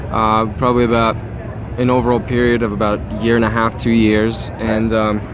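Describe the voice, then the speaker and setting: Through audible room echo and noticeable background noise, a man is speaking. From Russia. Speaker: rock band musician. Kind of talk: interview.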